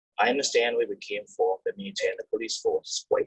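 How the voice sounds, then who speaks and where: Sounding dry and close with no echo, a man talks with a non-native accent. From third-world country, immigrated to Canada as teen. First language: not English. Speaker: Canadian Army veteran. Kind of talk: personal testimony. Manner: halting.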